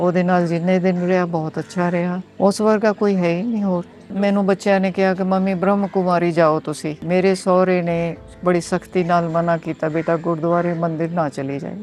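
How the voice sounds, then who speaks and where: A woman speaks in a fairly low pitch with monotone, flat intonation. Music plays in the background. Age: 70s. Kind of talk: interview answer.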